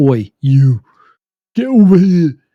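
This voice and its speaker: A put-on character voice in a British accent. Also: man, fairly high pitch for a man. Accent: British, deliberately bad. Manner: barking, commanding.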